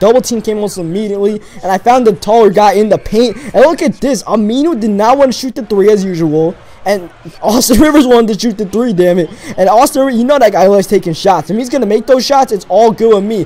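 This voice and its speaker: Over noticeable background noise, a man talks at a very fast pace with a high pitch, an energetic tone and ordinary pitch variation. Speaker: video game commentator / gamer. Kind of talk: casual gameplay commentary, talking over the game. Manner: energetic, conversational.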